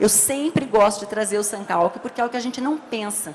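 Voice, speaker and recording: Over noticeable background noise, a woman speaks in an animated tone at a fairly quick pace. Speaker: labour court judge. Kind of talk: lecture. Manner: fast.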